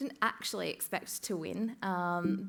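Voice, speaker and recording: In a very clean recording with a silent background, a woman speaks at a fairly slow pace and medium pitch. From Australia. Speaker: music tech community co-founder. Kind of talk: conference talk. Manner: hesitant with many fillers.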